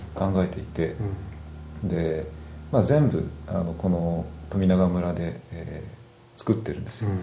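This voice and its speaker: This man speaks with a very deep, low pitch and a dark, mellow, somewhat breathy tone, leaving long, frequent pauses amid audible room echo. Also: ordinary pitch variation, fairly slow pace. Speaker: craftsman and product maker. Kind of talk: casual chat.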